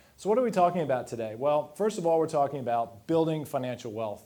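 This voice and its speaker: In an American accent, a man with a fairly high pitch and a dark, mellow tone talks at a very fast pace with lively intonation. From US Midwest, Missouri. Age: 50s. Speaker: financial planner. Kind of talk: presentation to live audience. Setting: dinner event with audience. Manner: casual, fast-paced.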